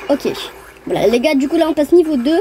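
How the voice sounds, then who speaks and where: A woman at a fairly quick pace, with a dry, close sound with no echo and noticeable background noise. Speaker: gaming video creator. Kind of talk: gameplay commentary. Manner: fast; animated.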